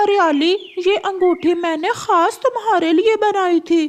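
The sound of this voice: A cartoonish character voice at an extremely high pitch speaks at a fairly slow pace.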